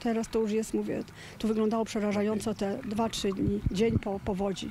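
A woman talks at a very fast pace with monotone, flat intonation. The sound is dry with no echo, though there is noticeable background noise. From Poland, Kłodzko Valley; Poland. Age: 60s. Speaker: flood victim. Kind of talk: interview. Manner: halting. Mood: sad, shaken, emotional. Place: open country. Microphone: handheld.

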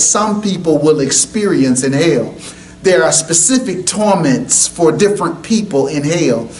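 A man's fairly slow, lively intoned speech over light background noise. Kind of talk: testimony. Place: hall.

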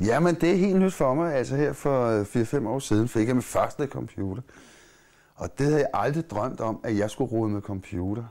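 In a quiet background, a man talks at a fairly slow pace. His tone is dark and mellow, with lively intonation. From Copenhagen, Amager; Copenhagen. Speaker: musician and playwright; interviewee. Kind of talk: interview; interview answer. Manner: halting. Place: home room.

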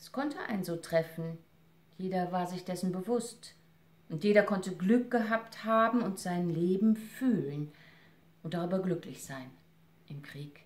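Speaking slowly with a solemn tone, a woman leaves long, frequent pauses, her loudness swinging widely and her pitch varying in an ordinary way. Room echo is audible. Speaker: actress and reader. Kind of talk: literary audiobook reading, essay read aloud. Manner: measured, solemn, expressive reading with emotional weight. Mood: serious, reflective. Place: home room. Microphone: camera far.

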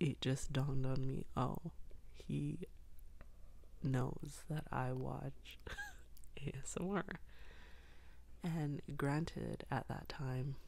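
Soft-spoken, very slow speech with long, frequent pauses. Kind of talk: soft-spoken ASMR storytelling to camera.

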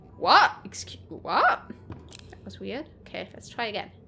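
A woman's medium-pitched voice, bright and sharp in tone, with vocal fry and big pitch swings. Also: fairly slow pace.

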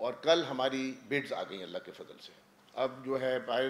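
A man talks with ordinary pitch variation. There is light background noise. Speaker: government minister. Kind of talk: press conference statement. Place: hall. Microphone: podium.

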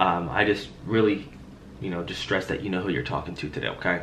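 A man talks at a very fast pace. There is light background noise. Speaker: insurance sales agent. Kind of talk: sales phone call. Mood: friendly, reassuring, persuasive. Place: home room. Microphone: headset.

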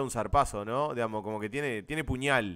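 A man speaks with a Uruguayan accent and lively intonation. The recording is very clean, with a silent background. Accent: Rioplatense Spanish (Uruguayan). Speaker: gaming streamer. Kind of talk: casual chat. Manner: mock play-by-play commentary.

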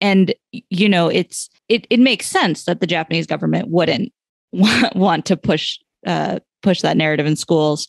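A woman with an American accent talks at a fairly slow pace in a fairly low pitch, showing vocal fry and ordinary pitch variation, in a dry, close sound with no echo. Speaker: journalist. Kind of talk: casual chat.

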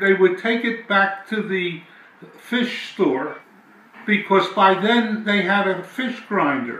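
A man with an American accent talks at a very slow pace in a high voice. His pitch varies in an ordinary way, and the room echo is audible. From South Philadelphia, USA. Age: 80s+. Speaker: family elder recalling memories. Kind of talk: interview answer. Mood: animated reminiscing. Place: home room.

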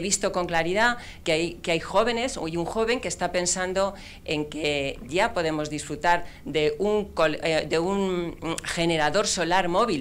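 Speaking at a fairly slow pace, a woman uses a fairly low pitch with ordinary pitch variation. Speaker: regional government official. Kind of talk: official speech. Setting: stage with audience. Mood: warm, enthusiastic. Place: hall. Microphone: handheld.

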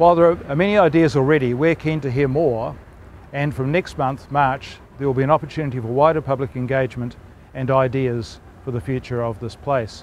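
Fairly quick speech from a man with ordinary pitch variation, dry sound with no echo, and light background noise. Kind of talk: official update to camera. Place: street.

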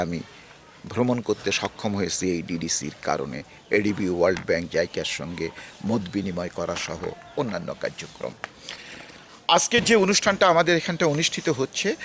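A man's pitch rises and falls dramatically while noticeable noise fills the background. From Bangladesh, Rajbari district. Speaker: retired development consultant and foundation founder. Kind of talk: personal reminiscence. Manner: halting.

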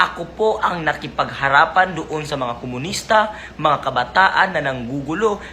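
Noticeable background noise runs throughout. The delivery has a moderate pace. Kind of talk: rally speech, defensive public statement to camera. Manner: earnest, indignant, insistent; formal and polite, repeating 'po', emphatic.

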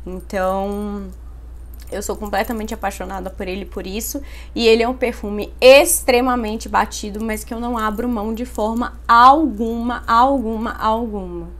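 A woman speaks at a fairly slow pace. Her loudness rises and falls in big swings. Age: 20s. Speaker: beauty YouTuber. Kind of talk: product review vlog. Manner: animated. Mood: enthusiastic, chatty. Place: home room. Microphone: phone near.

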